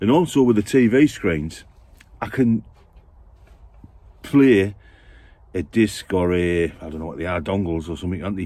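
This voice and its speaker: With a very deep, low pitch, a man talks at a moderate pace with long, frequent pauses and big swings in loudness, in a dry sound with no echo. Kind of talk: casual vlog chat. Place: car. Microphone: phone near.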